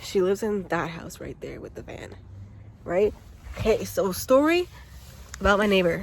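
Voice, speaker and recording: The speaker uses a Toronto accent and keeps a moderate pace. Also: woman. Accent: Canadian English (Toronto area). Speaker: YouTuber. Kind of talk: casual storytelling vlog. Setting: outdoors. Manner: loud.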